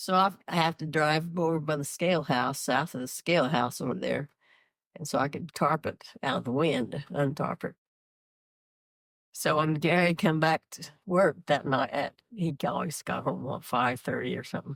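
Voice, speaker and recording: Speaking at a moderate pace with an American accent, a woman with a very deep, low voice and vocal fry shows ordinary pitch variation, recorded very cleanly against a silent background with a dry, close sound and no echo. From rural Kansas, USA. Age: 80s+. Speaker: retired farm worker. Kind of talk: interview answer.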